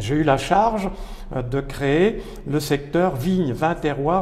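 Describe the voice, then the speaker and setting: A man at a fairly slow pace with ordinary pitch variation, amid noticeable background noise and audible room echo. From France, Loire valley (Pouilly-sur-Loire / Sancerre). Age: 70s. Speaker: retired professor, wine author. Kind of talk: interview. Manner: halting, with frequent repetitions.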